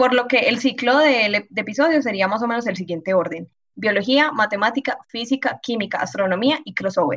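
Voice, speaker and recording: A plain, everyday voice. It moves at a fairly quick pace with lively intonation. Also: woman, fairly high pitch for a woman. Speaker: biology student. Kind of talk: casual chat.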